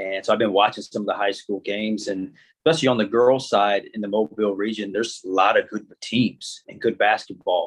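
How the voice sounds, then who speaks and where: Against a quiet background, a man with an unremarkable speaking voice talks at a fairly quick pace with a fairly low pitch and fairly even intonation. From Indiana, US Midwest. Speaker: college basketball coach. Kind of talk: casual interview.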